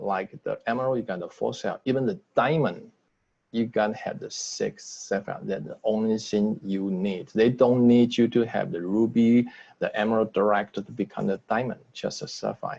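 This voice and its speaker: A man talks at a moderate pace with a Taiwanese accent. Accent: non-native English, Taiwanese. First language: Mandarin. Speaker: business trainer. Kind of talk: sales training webinar. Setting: video call. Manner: halting.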